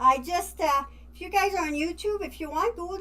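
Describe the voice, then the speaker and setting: In a French accent, a woman speaks at a moderate pace. Her tone is bright and sharp. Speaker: wig boutique owner. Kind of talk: live stream product showcase. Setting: live stream. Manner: casual, halting with fillers.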